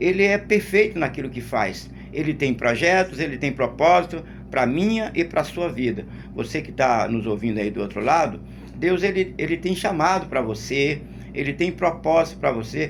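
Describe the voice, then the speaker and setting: A man talks at a moderate pace in a fairly high pitch. Room echo is audible. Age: 60s. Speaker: lay preacher. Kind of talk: sermon. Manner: halting, with repetitions.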